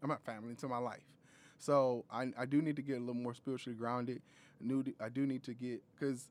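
A man speaks at a medium pitch and a fairly quick pace. The recording is very clean, with a silent background. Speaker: podcast host. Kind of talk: casual chat.

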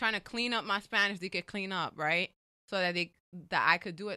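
A woman speaks with an American accent at a medium pitch. Her tone is bright and sharp. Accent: New York Dominican American English. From New York, the Bronx. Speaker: writer and educator. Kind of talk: casual interview.

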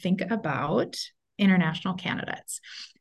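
A plain, everyday voice with an American accent and fairly even intonation. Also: woman. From Minnesota. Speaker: school superintendent. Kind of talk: interview.

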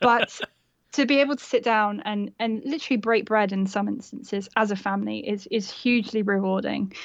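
Against a quiet background, a woman with an unremarkable speaking voice talks at a medium pitch and a fairly quick pace. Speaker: blogger and mother. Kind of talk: casual chat.

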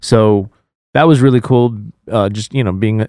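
An ordinary speaking voice at a moderate pace. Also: man. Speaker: podcast host. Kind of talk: casual chat. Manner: joking, laughs often.

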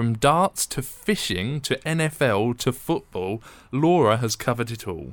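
An ordinary speaking voice from a man, medium in pitch, at a fairly slow pace with lively intonation. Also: very clean recording, silent background. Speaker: podcast host and university radio producer. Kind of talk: podcast presenting and interview chat. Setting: studio.

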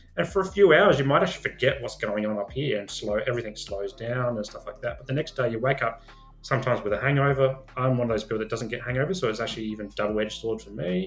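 Noticeable background noise sits under a very fast voice with an Australian accent, hardly any pauses, lively intonation and big swings in loudness. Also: man, medium pitch for a man. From Adelaide, South Australia. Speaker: social worker and men's mental health advocate. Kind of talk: interview conversation.

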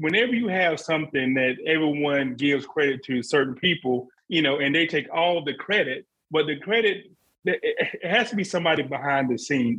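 With a Southern US accent, a man speaks at a moderate pace in a fairly high voice with lively intonation. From South Carolina. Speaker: bourbon podcast co-host. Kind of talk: casual chat.

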